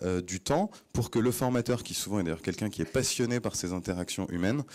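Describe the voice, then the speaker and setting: Dark, mellow in tone and lively in intonation, a man's voice comes through on a very clean recording with a silent background. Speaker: startup CEO, conference speaker. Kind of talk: conference talk. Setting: stage with audience. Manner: fast; hesitant, many fillers and repetitions.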